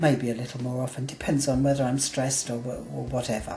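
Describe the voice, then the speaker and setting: The voice has an English accent and is somewhat breathy. It moves at a moderate pace. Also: woman. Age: 60s. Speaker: vlogger, weight loss surgery patient. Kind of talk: video diary. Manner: halting.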